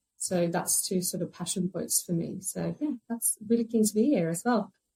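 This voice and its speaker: With vocal fry and a dark, mellow tone, a woman of medium pitch talks at a moderate pace with ordinary pitch variation. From Sweden. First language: Swedish. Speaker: recruitment consultant. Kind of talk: podcast interview.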